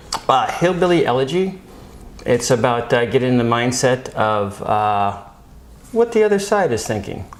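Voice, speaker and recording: A man with an American accent and very wide pitch swings, over noticeable background noise. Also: medium pitch for a man, moderate pace. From Phoenix, Arizona, USA. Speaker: actor and improv comedian. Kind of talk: casual interview answer.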